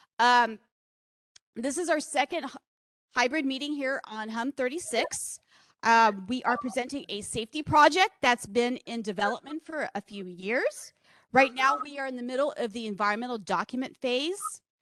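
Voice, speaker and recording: The woman speaks loudly at a high pitch. The sound is dry and close, with no echo. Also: ordinary pitch variation, moderate pace. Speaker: project manager at a public meeting. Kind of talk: public meeting presentation. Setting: public meeting hall with microphone, also streamed online. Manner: loud, projecting.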